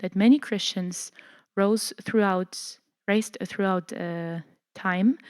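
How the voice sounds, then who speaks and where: In a German accent, a woman of medium pitch speaks at a very slow pace on a very clean recording with a silent background. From Germany. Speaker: church lecturer. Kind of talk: lecture. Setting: church hall with audience. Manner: halting, many fillers.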